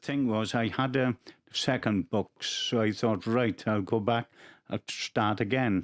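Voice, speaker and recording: A man speaks in a South Wales accent. His intonation stays fairly even. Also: medium pitch for a man. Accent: Welsh (South Wales). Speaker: rugby autograph collector. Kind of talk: testimony. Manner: halting.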